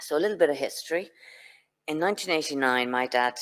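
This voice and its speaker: A woman with a Dublin accent. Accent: Irish, Dublin. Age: 60s. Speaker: patient speaker. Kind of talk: personal testimony talk. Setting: conference venue with audience, streamed online.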